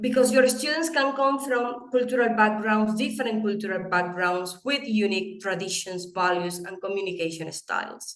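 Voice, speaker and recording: A woman speaks with a Venezuelan accent. Her pitch is fairly high, with ordinary pitch variation. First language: Spanish. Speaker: English teaching educator and presenter. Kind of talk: webinar presentation. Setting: online webinar. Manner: animated.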